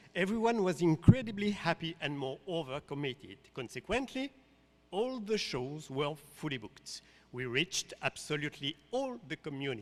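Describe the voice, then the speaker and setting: A man with a slight French accent speaks at a moderate pace and fairly high pitch, his pitch swinging very widely and his loudness shifting greatly. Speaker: artistic director of a dance company. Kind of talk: pitch presentation. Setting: conference stage with audience.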